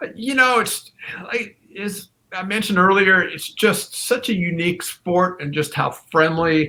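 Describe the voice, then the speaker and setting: The voice is raised and projected, with a bright, sharp tone. It moves at a fairly slow pace. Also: man, high pitch for a man, ordinary pitch variation. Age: 50s. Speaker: pickleball player. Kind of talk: casual interview chat.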